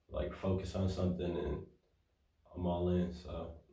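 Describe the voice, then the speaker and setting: At a fairly slow pace, a man with an American accent and a very deep, low pitch speaks in a monotone, flat intonation, with audible room echo. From Detroit, US. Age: young. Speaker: rapper. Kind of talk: interview. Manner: halting.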